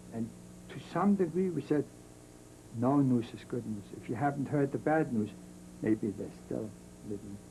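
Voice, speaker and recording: Medium in pitch and showing vocal fry, a man speaks with lively intonation, broken by long, frequent pauses. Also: moderate pace. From Germany. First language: German. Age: 70s. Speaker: Holocaust survivor. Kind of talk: interview testimony.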